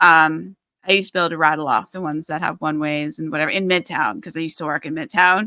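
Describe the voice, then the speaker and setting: With a New York accent, a woman talks at a very fast pace in a fairly low, bright, sharp voice with ordinary pitch variation, recorded with a dry, close sound and no echo. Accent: New York American. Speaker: podcast host and author. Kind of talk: casual chat.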